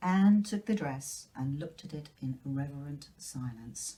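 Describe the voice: Low-pitched and dark, mellow in tone with a slightly husky edge, a woman speaks at a fairly slow pace with lively intonation.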